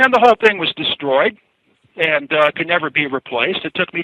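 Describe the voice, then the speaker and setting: He has an unremarkable speaking voice and a fairly high pitch for a man. His intonation is lively and his pace fairly quick. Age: 60s. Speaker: inventor. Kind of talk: interview. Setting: radio show.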